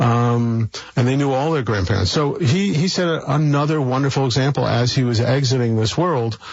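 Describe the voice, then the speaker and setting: A man with an American accent uses a plain, everyday voice with lively intonation. He speaks at a moderate pace. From New York City (Brooklyn). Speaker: philanthropist. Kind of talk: interview conversation.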